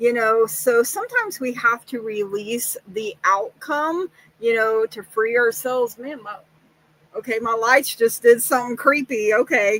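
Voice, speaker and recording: With big swings in loudness, a woman speaks at a fairly slow pace and fairly high pitch, showing ordinary pitch variation. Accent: Oklahoma. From Oklahoma. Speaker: psychic tarot reader. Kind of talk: livestream tarot reading. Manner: casual, many fillers.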